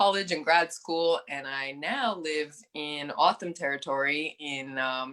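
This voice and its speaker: Speaking at a fairly slow pace, a woman with a very deep, low pitch uses a bright, sharp tone and fairly even intonation. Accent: American. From US Great Plains, North Dakota. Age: 30s. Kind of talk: self-introduction on a panel.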